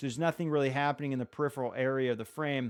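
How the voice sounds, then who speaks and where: The background is silent in this very clean recording. The voice belongs to a man. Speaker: gaming livestreamer. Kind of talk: live stream commentary. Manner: casual, fast with many fillers.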